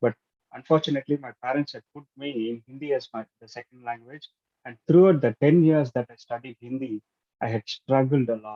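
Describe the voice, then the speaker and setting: A man with a Tamil accent and a medium pitch speaks at a fairly quick pace, his loudness swinging widely. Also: ordinary pitch variation. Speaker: club speaker. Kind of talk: prepared speech. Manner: halting.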